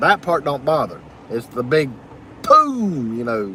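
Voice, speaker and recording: Over noticeable background noise, a man talks with a Southern US accent. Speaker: live streamer. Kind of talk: live stream chat reading comments. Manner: loud.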